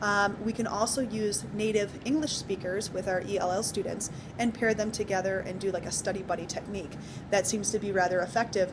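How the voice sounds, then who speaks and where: There is noticeable background noise as a woman talks fairly quickly at a medium pitch with fairly even intonation. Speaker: teacher. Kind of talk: spoken assignment summary. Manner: fast; hesitant with many fillers.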